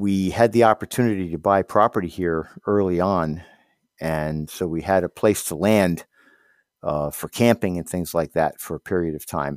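The speech has ordinary pitch variation and a moderate pace, with a dry, close sound, no echo, and a very clean recording with a silent background. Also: man, very deep, low pitch for a man. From Westchester County, New York. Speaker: community member telling story. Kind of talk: personal story monologue.

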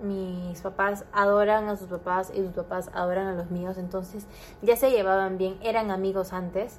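A woman speaks at a medium pitch and a moderate pace. Her intonation stays flat and monotone while her loudness swings widely. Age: 20s. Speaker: podcaster. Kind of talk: casual monologue.

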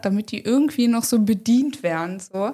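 A woman speaks at a moderate pace with a fairly high pitch in a dark, mellow, somewhat breathy tone. The recording is very clean, with a silent background. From Hanover, northern Germany. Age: 30s. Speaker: content creator. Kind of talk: casual interview.

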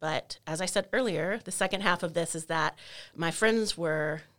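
A woman's fairly low voice with an American accent, on a very clean recording with a silent background. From Maryland and North Texas. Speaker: university professor of performance studies. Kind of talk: casual interview conversation.

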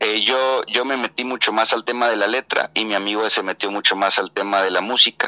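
A man with a northwestern Mexican accent talks at a fairly quick pace in a fairly low pitch, his intonation fairly even, the sound dry and close with no echo, and noticeable background noise behind him. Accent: northwestern Mexican Spanish (Sinaloa). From Mexico, Mazatlán, Sinaloa. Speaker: actor and theatre director. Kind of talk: casual interview chat.

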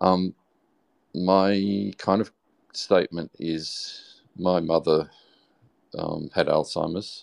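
Speaking in an Australian accent at a very slow pace with long, frequent pauses, a man is heard in a dry, close sound with no echo and a quiet background. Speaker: audience participant. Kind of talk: live audio chat.

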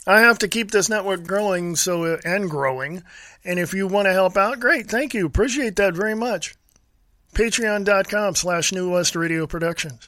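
Raised and projected, this man's voice has a bright, sharp tone, a high pitch, ordinary pitch variation, a moderate pace and an American accent. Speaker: radio host. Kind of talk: angry political rant. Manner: loud, indignant, scornful; emphatic, repetitive, insulting.

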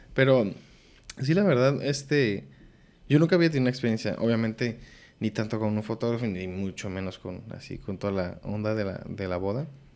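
On a very clean recording with a silent background, a plain, everyday voice is heard with ordinary pitch variation. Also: man, medium pitch for a man. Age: 20s. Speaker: podcast host. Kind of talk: casual chat.

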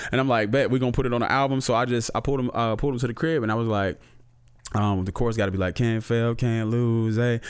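Ordinary pitch variation in a normal speaking voice. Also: man. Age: middle-aged. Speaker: rapper and music producer. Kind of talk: casual chat.

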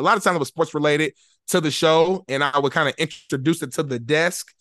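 A man with an ordinary speaking voice talks at a fairly quick pace and a fairly high pitch, with ordinary pitch variation, in a dry, close sound with no echo over a quiet background. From Indianapolis, Indiana. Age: 20s. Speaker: sports show host. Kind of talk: casual interview.

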